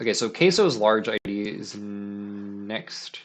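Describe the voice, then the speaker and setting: A man speaks at a fairly low pitch. Music plays in the background. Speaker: streamer giving game level feedback. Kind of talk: live stream commentary. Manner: stutters; casual, filler-heavy.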